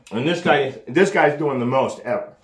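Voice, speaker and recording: Lively in intonation, a man with an American accent talks at a fairly slow pace, with audible room echo. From Los Angeles, US. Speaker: street preacher. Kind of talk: addressing camera viewers. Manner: agitated, repetitive.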